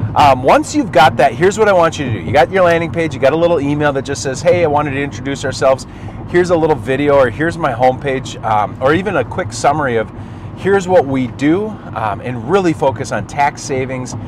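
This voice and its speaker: There is noticeable background noise as a man with an American accent talks. His pace is very fast, with ordinary pitch variation. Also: fairly high pitch for a man. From Minnesota. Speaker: marketing agency owner. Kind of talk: tutorial. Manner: animated.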